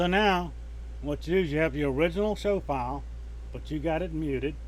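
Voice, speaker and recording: Speaking with a Southern US accent at a fairly quick pace, the voice breaks into long, frequent pauses amid audible room echo. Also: man. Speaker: radio show host, audio tutorial maker. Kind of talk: software tutorial. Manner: casual, hesitant with fillers.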